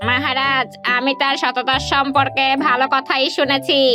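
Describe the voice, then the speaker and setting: A woman does a cartoonish character voice at a high pitch and a moderate pace. Clear music plays in the background. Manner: formal, measured.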